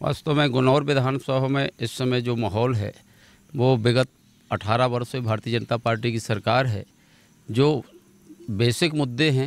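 A man at a fairly slow pace with long, frequent pauses, fairly even intonation and a dry sound with no echo. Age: 50s. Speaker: politician, former state legislator; politician. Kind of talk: interview. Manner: halting. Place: open country. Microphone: handheld.

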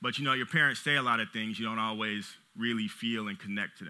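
A man with an American accent, medium pitch, against a quiet background. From Los Angeles, US. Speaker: business owner and CEO; conference speaker. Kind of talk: motivational talk. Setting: stage with audience. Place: stage. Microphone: headset.

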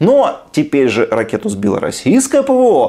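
Fairly high-pitched man's voice with a dark, mellow tone, very wide pitch swings and a moderate pace

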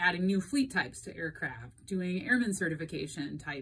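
Speaking at a moderate pace, a woman has a fairly low pitch. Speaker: airline dispatcher explaining industry news. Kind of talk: informative explainer talk. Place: home room. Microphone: phone near.

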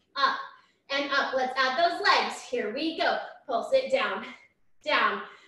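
Her voice raised and projected, a woman speaks in an upbeat tone at a high pitch and a very slow pace, with long, frequent pauses. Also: ordinary pitch variation. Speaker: fitness instructor. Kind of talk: live-style barre workout cueing, counting reps down aloud. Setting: home workout video. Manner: upbeat, encouraging, rhythmic counting cues; energetic and warm, frequent praise.

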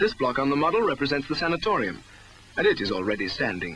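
A man with a British accent at a very fast pace, the sound dry with no echo and light background noise. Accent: British, formal 1960s narrator. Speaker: documentary narrator. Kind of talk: 1961 school promotional film narration. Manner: formal, measured, earnest newsreel-style delivery. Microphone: old recording.

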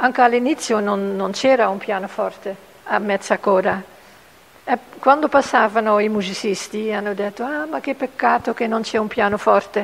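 A woman's fairly high voice carries ordinary pitch variation as she talks at a moderate pace. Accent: Dutch. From Netherlands. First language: Dutch (speaking Italian). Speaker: puppet maker. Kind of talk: interview. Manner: halting.

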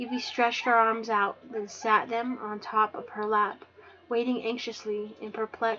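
This is an unforced reading voice. Nothing more marks it.

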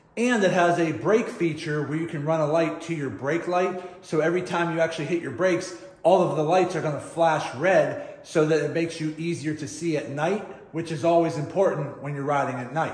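Audible room echo surrounds a man speaking at a high pitch and a fairly quick pace, his intonation fairly even. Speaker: motorcycle DIY vlogger. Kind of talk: casual vlog chat. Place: garage. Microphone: phone near.

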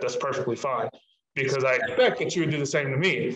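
A man is speaking. The room echo is audible, though the background is quiet. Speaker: guest. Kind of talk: interview answer. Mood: reflective, calm. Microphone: video call.

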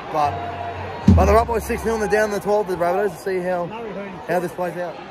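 Over loud background noise, a man talks at a fairly quick pace with ordinary pitch variation and a dry sound with no echo. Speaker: fan vlogger. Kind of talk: live match commentary. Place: stadium. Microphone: phone near.

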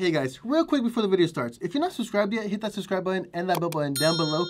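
This man talks at a very fast pace with a high pitch. Noticeable background noise runs underneath. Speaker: comedy sketch creator. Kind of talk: comedic sketch acting and narration. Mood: exasperated comedic complaining.

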